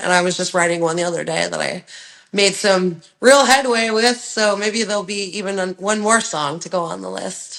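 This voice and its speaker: At a moderate pace, a woman with a normal speaking voice keeps her intonation fairly even. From Ontario, Canada. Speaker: rock singer and songwriter. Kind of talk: interview answer.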